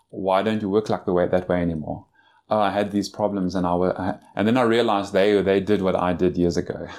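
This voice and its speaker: A plain, everyday voice speaks at a fairly quick pace with fairly even intonation and very even loudness. The recording is very clean with a silent background. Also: man, fairly low pitch for a man. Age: 40s. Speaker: certified financial planner. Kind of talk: interview. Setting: in person at a convention conference room.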